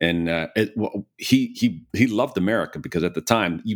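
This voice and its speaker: Very wide pitch swings and vocal fry mark a man's voice, captured dry and close with no echo in a very clean recording with a silent background. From US Midwest, Chicago area. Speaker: private equity investor, CEO. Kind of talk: interview conversation.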